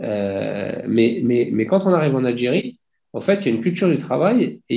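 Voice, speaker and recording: Using very wide pitch swings, a man with vocal fry speaks at a moderate pace and medium pitch. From France, Paris region. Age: 40s. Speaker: industrial company founder. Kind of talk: interview. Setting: video call.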